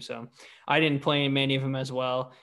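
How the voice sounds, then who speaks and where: A man talks at a fairly quick pace in a normal speaking voice with a medium pitch. The background is quiet. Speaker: podcast host and golfer. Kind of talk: casual interview.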